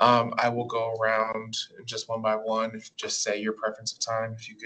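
A man talks at a moderate pace, his loudness swinging widely. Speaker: student government leader. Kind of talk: meeting facilitation. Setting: meeting room. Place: meeting room. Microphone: camera far.

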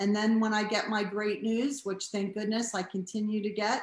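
A woman with an American accent speaks at a moderate pace in a fairly high, somewhat breathy voice, with audible room echo. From Boston. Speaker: cancer patient and award honoree; guest. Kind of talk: casual interview. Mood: warm, grateful, upbeat. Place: home room. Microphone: video call.

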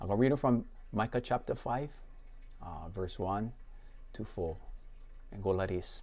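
A somewhat breathy man talks at a moderate pace with ordinary pitch variation and long, frequent pauses. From Hawaii. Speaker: pastor. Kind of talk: casual introduction to congregation. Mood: warm, friendly. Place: home room. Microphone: lapel.

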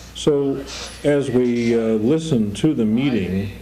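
A man is speaking with ordinary pitch variation. Background noise is noticeable. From California, USA. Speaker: radio news reporter. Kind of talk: interview answer. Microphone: old recording.

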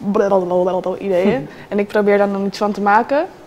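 A woman talks at a moderate pace. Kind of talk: interview answer. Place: office. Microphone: lapel.

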